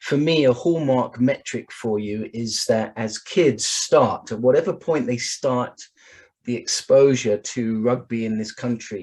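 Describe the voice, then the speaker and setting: The speaker has an English accent, heard over a quiet background. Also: man, medium pitch for a man, ordinary pitch variation, fairly slow pace. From England. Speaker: sport science expert. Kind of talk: online presentation.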